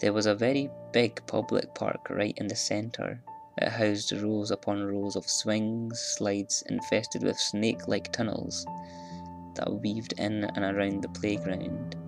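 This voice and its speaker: Music plays in the background as a man speaks. His pace is fairly slow and his intonation fairly even. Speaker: horror story narrator. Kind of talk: horror story narration.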